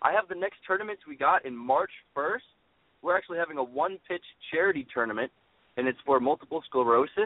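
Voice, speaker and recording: A man with an ordinary speaking voice talks at fairly high pitch with lively intonation. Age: 20s. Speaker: amateur softball league organizer. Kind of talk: radio interview. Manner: repeats words often.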